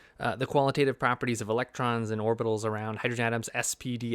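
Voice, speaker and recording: A man talks at a very fast pace in a dry, close sound with no echo, the recording very clean and the background silent. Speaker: physics educator. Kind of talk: vlog monologue. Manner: animated; hesitant fillers.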